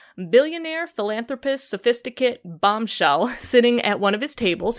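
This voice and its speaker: Lively intonation carries this voice with a Chicago accent, recorded very cleanly against a silent background. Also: woman. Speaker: podcast host. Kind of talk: casual chat.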